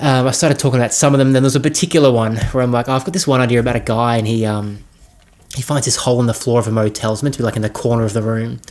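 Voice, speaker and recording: A man with an Australian accent at a very fast pace, medium pitch, and fairly even intonation. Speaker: filmmaker. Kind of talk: casual talk. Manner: hesitant, many fillers.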